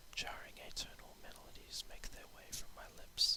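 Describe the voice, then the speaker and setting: Someone is whispering at a fairly slow pace. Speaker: poet. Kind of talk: poetry reading. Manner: whispered.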